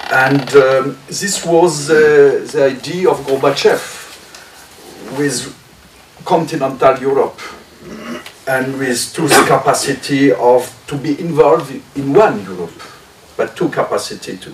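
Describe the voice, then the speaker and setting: A man speaks at a fairly slow pace in a French accent, his pitch fairly high with ordinary variation. Long, frequent pauses and big swings in loudness come through over noticeable background noise. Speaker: member of European Parliament. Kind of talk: roundtable audience comment. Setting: press club roundtable. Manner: halting.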